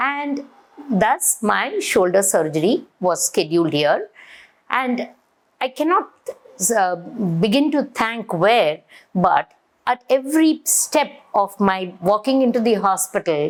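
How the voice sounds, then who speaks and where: A woman with a fairly high pitch talks at a very slow pace, with very wide pitch swings, very even loudness and long, frequent pauses. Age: 60s. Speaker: patient. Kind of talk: testimony.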